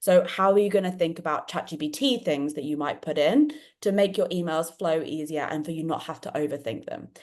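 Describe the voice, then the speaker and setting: A woman with a British accent, fairly low in pitch, at a fairly quick pace over a quiet background. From England, London. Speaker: podcast host and dyslexia event organiser. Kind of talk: live online panel discussion. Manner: animated.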